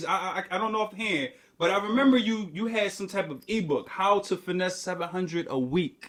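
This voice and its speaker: High-pitched male speech, fairly quick in pace, its pitch moving in a typical way, with clear background noise behind it. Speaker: podcast interviewer. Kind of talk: casual live interview host. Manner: upbeat.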